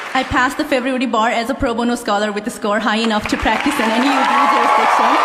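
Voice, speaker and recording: A woman speaks at a very fast pace in a high pitch, her loudness very even. Her intonation is fairly even, with crowd noise in the background. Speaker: law graduate. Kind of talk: commencement speech. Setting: stage with audience. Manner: formal.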